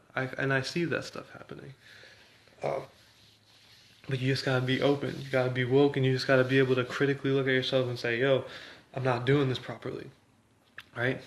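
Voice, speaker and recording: The speech moves at a very fast pace yet has long, frequent pauses. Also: man, medium pitch for a man. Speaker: vlogger. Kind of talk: casual monologue. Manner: animated.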